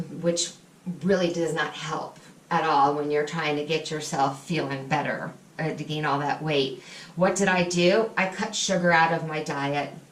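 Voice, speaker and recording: A woman's very deep, low-pitched voice at a moderate pace, with ordinary pitch variation and noticeable background noise. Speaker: person in recovery from drug addiction. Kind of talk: personal vlog talk to camera.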